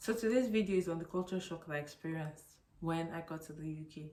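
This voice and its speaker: A woman with a Nigerian accent talks at a moderate pace and a fairly low pitch, with ordinary pitch variation. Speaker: YouTuber. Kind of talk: casual vlog talk.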